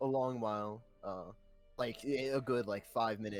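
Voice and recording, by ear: The passage is read aloud in a natural voice.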